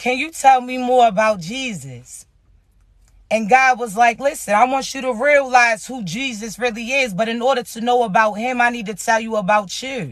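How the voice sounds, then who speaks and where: Pitched extremely high, a man speaks at a moderate pace with ordinary pitch variation. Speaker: spiritual reader. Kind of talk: spiritual channeled message. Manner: loud; casual, conversational.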